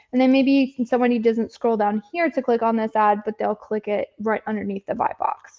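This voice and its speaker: With hardly any pauses, a woman talks in a fairly high voice and fairly even intonation. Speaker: Amazon advertising agency presenter. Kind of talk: live presentation with screen share. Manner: fast.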